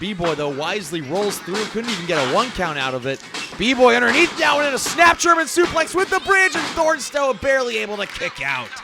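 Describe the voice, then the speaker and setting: Over noticeable background noise, a man projects a raised, high-pitched voice at a fairly quick pace with very wide pitch swings and hardly any pauses. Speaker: wrestling commentator. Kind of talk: play-by-play wrestling commentary.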